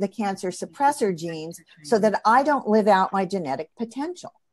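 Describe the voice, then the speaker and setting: A woman speaks at a moderate pace in a normal speaking voice, her pitch medium. Her intonation is lively, and the sound is dry and close with no echo. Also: hardly any pauses. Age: 60s. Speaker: integrative cancer practitioner and acupuncturist. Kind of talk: interview conversation.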